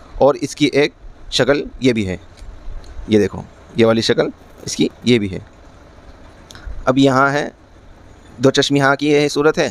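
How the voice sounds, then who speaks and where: A man talks in a plain, everyday voice with a fairly high pitch and ordinary pitch variation. The sound is dry and close, with no echo. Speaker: Quran teacher. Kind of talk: Quran lesson teaching, explaining letter shapes.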